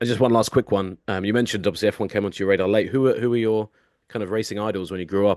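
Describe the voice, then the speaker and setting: Dry and close with no echo, a man with an English accent speaks at a fairly low pitch and fairly even intonation over a quiet background. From Britain. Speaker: podcast host. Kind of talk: interview.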